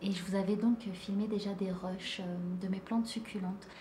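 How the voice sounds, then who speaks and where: A soft-spoken woman talks at a moderate pace and medium pitch. Audible room echo and noticeable background noise surround her. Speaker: plant vlogger. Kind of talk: casual vlog. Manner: hesitant, many fillers.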